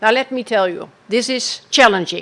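A woman with a Dutch accent speaks at a fairly high pitch, using ordinary pitch variation. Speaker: former agriculture minister. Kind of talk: keynote speech.

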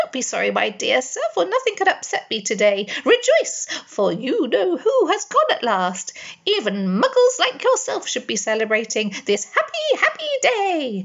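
A woman's squeaky, put-on character voice, extremely high in pitch, at a moderate pace. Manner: joyful, exuberant.

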